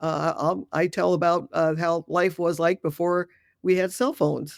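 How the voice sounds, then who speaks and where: In a very clean recording with a silent background, a woman speaks at a fairly low pitch with vocal fry. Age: 60s. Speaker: death doula and retired dentist. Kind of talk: interview.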